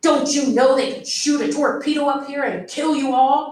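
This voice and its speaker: In a put-on character voice, a woman growls at a high pitch with monotone, flat intonation and a slight echo. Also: moderate pace. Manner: stern, growling.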